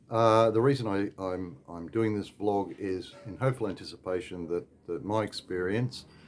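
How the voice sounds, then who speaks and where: Moderate pace, ordinary pitch variation, and a fairly low male voice. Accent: Australian. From Australia. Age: 60s. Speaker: expat vlogger. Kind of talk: casual vlog advice talk. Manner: halting, many fillers.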